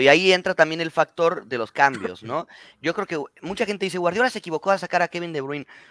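A man speaks at a fairly quick pace with a Mexican accent, the sound dry and close with no echo. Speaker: football podcast co-host. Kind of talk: casual chat.

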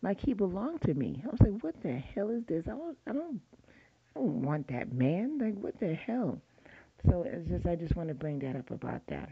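A woman with a fairly low voice speaks at a moderate pace, a little breathy, her pitch swinging very widely. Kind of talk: casual monologue. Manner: halting, repetitive.

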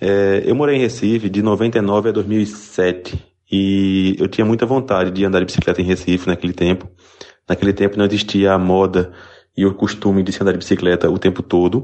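A man with an ordinary speaking voice and a fairly low pitch keeps a moderate pace, fairly even intonation and very even loudness. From interior of Pernambuco, Brazil. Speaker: listener sending audio message. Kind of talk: voice message.

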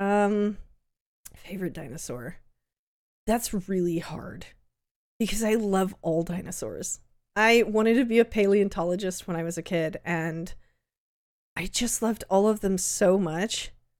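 This woman has an American accent and a medium pitch. She speaks at a moderate pace with ordinary pitch variation. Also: long, frequent pauses. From Southern California. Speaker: podcast host and content creator. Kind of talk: solo Q&A monologue. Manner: casual, with fillers.

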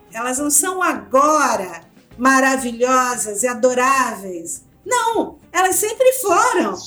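Over music in the background, a woman projects a raised, high voice with very wide pitch swings. She speaks at a very slow pace, and audible room echo surrounds her. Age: 60s. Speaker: anthropologist and author. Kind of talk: interview.

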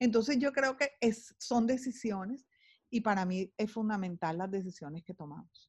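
Somewhat breathy and animated, a voice with a Caribbean Colombian accent moves at a moderate pace with lively intonation. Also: woman, fairly high pitch for a woman. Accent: Colombian Caribbean (costeño). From Colombian Caribbean coast, Barranquilla. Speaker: sales executive and author. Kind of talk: interview.

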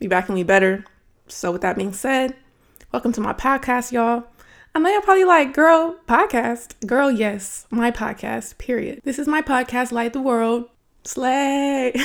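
The recording is very clean, with a silent background. A woman speaks at a moderate pace in a high pitch, her tone animated. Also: lively intonation. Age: 20s. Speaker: podcast host. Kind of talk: casual faith talk.

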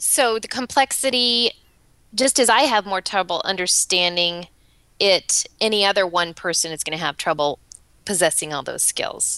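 Against a quiet background, a woman of medium pitch speaks at a moderate pace with lively intonation and a bright, sharp tone, the sound dry and close with no echo. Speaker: business owner and podcast co-host. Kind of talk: casual chat. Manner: cheerful, smiling while talking.

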